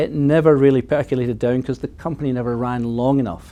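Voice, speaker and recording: The voice has a dark, mellow tone and a Scottish accent. It moves at a fairly quick pace with ordinary pitch variation. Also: man. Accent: Scottish, noticeable. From Scotland. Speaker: mining company executive. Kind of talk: interview.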